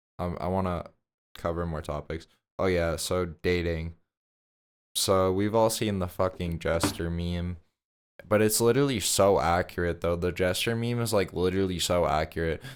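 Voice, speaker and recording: In an American accent, the speaker keeps a fairly even intonation on a very clean recording with a silent background. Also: man. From Massachusetts, US. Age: 18. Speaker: vlogger. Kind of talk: casual monologue. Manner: rambling, filler-heavy.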